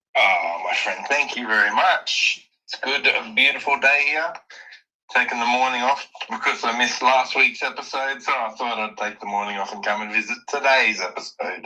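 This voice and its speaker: A man with an Australian accent at a moderate pace. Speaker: NFT project founder. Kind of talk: casual chat.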